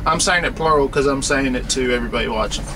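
Noticeable background noise behind a man's voice. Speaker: truck driver vlogger. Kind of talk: casual vlog chat. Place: car. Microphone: webcam.

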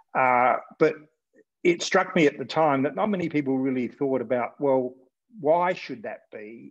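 A man with an Australian accent speaks at a moderate pace, his fairly high pitch moving with ordinary variation. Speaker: political journalist, interviewer. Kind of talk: interview conversation. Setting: video call. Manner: halting, many fillers. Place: home room. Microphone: earbuds.

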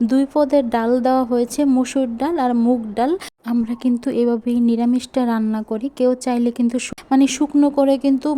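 Her high-pitched voice stays monotone and flat as the woman talks. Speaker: cooking vlogger. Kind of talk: vlog monologue. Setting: kitchen.

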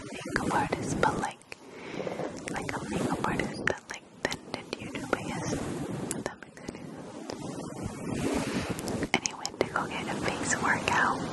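A woman whispers at a fairly slow pace, with long, frequent pauses. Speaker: ASMR creator. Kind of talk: whispered ASMR chat. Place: home room. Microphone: studio mic.

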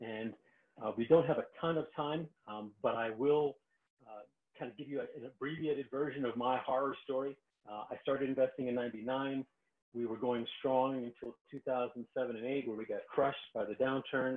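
The man's voice sits at a medium pitch, and his intonation stays fairly even. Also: moderate pace. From New York. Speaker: real estate investor hosting a live call. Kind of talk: webinar presentation. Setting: online video call. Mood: frank, storytelling. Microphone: video call.

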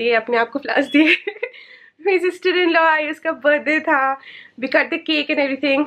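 Over a quiet background, a woman projects a raised voice at a high pitch, her tone bright and sharp and her intonation fairly even. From India. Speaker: vlogger. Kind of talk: casual vlog talk to camera. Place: home room. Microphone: phone near.

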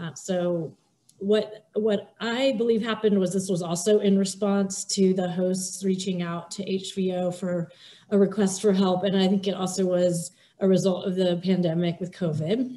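Her intonation fairly even, a woman talks in a dark, mellow tone that is somewhat breathy. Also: moderate pace. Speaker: pediatric dentist. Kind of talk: webinar presentation. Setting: video call. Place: home room. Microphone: video call.

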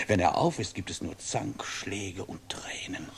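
A raspy, put-on character voice from a man at a moderate pace. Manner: mocking, cheeky, whining.

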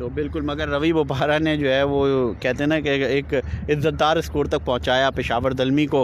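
A man with a fairly high-pitched voice talks at a medium pace.

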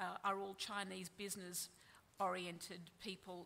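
A woman with an Australian accent speaks in a bright, sharp tone with monotone, flat intonation. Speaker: journalist. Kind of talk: panel presentation; panel discussion. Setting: stage with audience. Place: hall. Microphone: podium.

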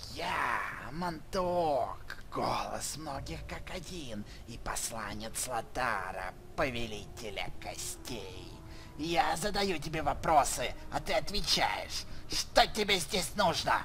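Amid clear background noise, someone uses a put-on character voice at a middle pitch and a fairly slow pace. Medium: fan dub. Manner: sly, domineering, suspicious.

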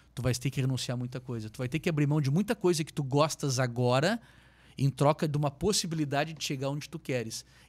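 A somewhat breathy man speaks at a fairly quick pace, his fairly high pitch moving with ordinary variation. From southern Brazil, Pelotas (Rio Grande do Sul); Rio Grande do Sul, Brazil. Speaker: real estate developer, company founder; guest. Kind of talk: interview, life story. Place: studio. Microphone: studio mic.

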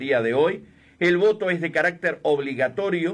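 A man with an ordinary speaking voice and a fairly high pitch talks at a moderate pace on a very clean recording with a silent background. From Uruguay, Cerro Largo. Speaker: radio host. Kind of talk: live election radio broadcast.

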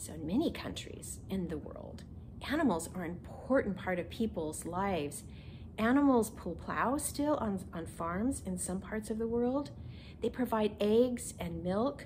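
Against light background noise, a woman talks at a fairly slow pace with vocal fry. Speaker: minister. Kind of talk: children's message. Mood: gentle and warm. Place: home room.

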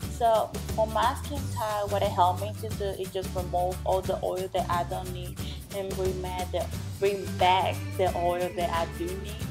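A woman speaks at a moderate pace while clear music plays in the background. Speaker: beauty vlogger. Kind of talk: casual skincare tutorial to camera. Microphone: camera far.

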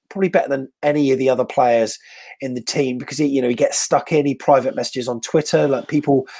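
A man rushes along at a very fast pace, his intonation fairly even, with a quiet background. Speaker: show host interviewer. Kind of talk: casual interview chat. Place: home room. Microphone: earbuds.

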